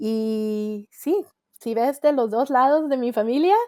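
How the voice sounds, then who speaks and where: A woman's fairly high voice with ordinary pitch variation, in a very clean recording over a silent background. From northern Mexico, Monterrey. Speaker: coach and author. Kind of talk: interview chat.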